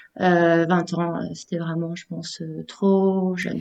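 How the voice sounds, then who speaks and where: With a dark, mellow tone, a woman speaks at a fairly low pitch in a monotone, flat intonation. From southeastern France, Menton area. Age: 20s. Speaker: communications freelancer. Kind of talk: casual interview.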